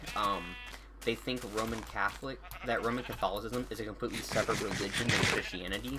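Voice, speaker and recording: Noticeable background noise runs behind a man speaking at a fairly quick pace. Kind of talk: casual monologue to camera. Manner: halting, many fillers and restarts.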